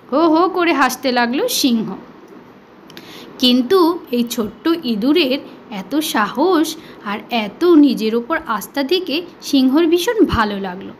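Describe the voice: Audible room echo surrounds a woman speaking slowly at a high pitch with lively intonation.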